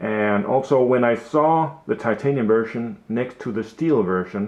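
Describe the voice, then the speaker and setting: A man with a Danish accent speaks at a fairly slow pace. His pitch sits in the medium range. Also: ordinary pitch variation. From Denmark. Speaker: watch hobbyist YouTuber. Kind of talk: casual product video. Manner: halting, many fillers.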